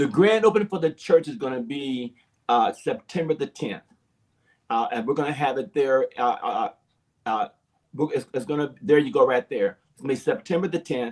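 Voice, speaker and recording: A man with an American accent speaks at a fairly high pitch and moderate pace in an animated tone. His pitch swings are very wide, and his loudness swings a lot. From Arizona. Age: 60s. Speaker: pastor. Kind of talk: interview. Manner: halting.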